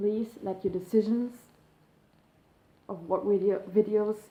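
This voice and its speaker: With a German accent, a woman speaks in a dark, mellow tone with fairly even intonation. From Germany. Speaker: YouTuber, eating disorder recovery. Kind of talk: casual vlog to camera. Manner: hesitant, many fillers.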